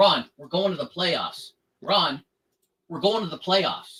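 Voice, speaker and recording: A high-pitched man's raised, projected voice, fairly slow, with lively intonation. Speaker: live stream co-host. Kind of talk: casual chat. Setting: live stream. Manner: loud.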